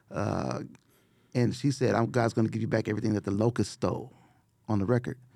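Dark and mellow with vocal fry, a man speaks at a very fast pace. His speech is broken by long, frequent pauses. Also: medium pitch for a man, ordinary pitch variation. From Los Angeles (Watts, South Central). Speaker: music producer. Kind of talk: casual chat. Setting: studio. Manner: animated.

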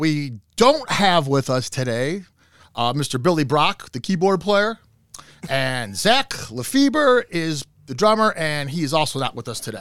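In a very clean recording with a silent background, someone with an American accent speaks at a fairly slow pace. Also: man. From US Midwest, Cleveland. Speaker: podcast host. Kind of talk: casual interview. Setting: studio.

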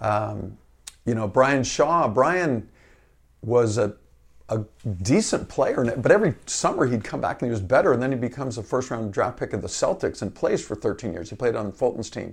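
Against a quiet background, a man with a medium pitch and a somewhat breathy voice speaks at a moderate pace with lively intonation. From Northern California, Marin County. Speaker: associate athletic director and basketball coach. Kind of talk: interview.

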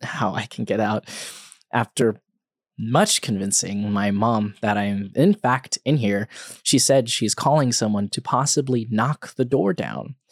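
A normal speaking voice from a man at a medium pitch, with ordinary pitch variation, on a very clean recording with a silent background. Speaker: podcast host. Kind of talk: scripted horror narration, reading a creepypasta aloud in first person.

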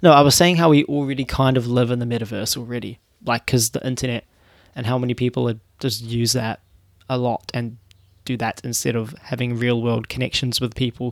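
A man with a New Zealand accent at a very fast pace, medium-pitched with fairly even intonation, on a very clean recording with a silent background. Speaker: solo podcaster and YouTuber. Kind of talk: casual solo monologue. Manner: halting, many fillers and restarts.

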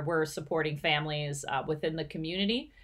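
Here is a woman with a normal speaking voice. Her pitch is fairly low. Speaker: PTO co-president and podcast host. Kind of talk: casual chat.

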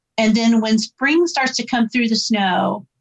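An American accent from a woman, fairly high in pitch, fairly slow in pace, with ordinary pitch variation.

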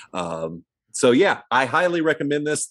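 On a very clean recording with a silent background, a man speaks at a fairly slow pace with very wide pitch swings. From US Midwest, small town. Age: 50s. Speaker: movie review podcast co-host. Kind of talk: casual chat.

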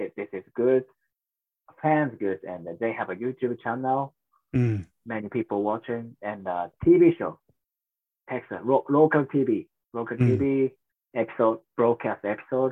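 With a Japanese accent, a man speaks with ordinary pitch variation and long, frequent pauses. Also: medium pitch for a man, fairly slow pace. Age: 30s. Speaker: professional wrestler. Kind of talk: interview. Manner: halting.

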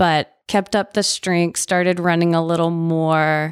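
Someone speaks with a Southern US accent on a very clean recording with a silent background. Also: woman. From Nashville, Tennessee. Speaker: amateur runner. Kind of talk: casual interview. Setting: studio, in person. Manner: laughs often.

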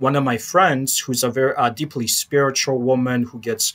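A man with an American accent speaks in a normal speaking voice at medium pitch and a fairly slow pace, his intonation fairly even, on a very clean recording with a silent background. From Chicago, Polish American family. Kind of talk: interview conversation.

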